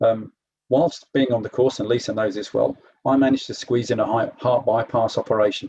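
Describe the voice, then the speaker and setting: A man with an English accent speaks at a medium pitch, somewhat breathy, with a dark, mellow tone and a fairly quick pace. The sound is dry and close, with no echo. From England. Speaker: program alumnus, corporate manager. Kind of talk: testimony at online info session.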